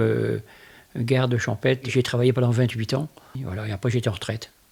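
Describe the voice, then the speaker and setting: At a medium pitch and with fairly even intonation, a man speaks on a very clean recording with a silent background. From northern France, Somme (Picardy). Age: 60s. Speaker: retired rural policeman, interviewee. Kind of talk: interview testimony. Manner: hesitant, repeats words.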